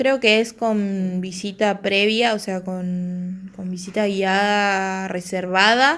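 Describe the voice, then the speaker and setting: At a very slow pace and with hardly any pauses, a woman speaks in a Rioplatense accent at a medium pitch with fairly even intonation. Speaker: podcast host. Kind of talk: solo podcast talk.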